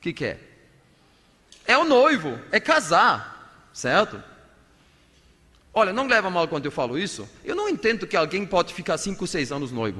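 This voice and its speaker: A man uses a raised, projected voice, high for a man, with very wide pitch swings, speaking at a moderate pace with long, frequent pauses. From Germany. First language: German (speaking Portuguese). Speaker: pastor. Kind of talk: sermon.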